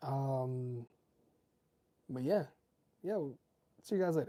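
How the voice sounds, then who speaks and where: The speaker is soft-spoken with a relaxed tone. The pace is fairly slow. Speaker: tech reviewer livestreamer. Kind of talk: casual livestream chat. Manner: relaxed, hesitant with fillers.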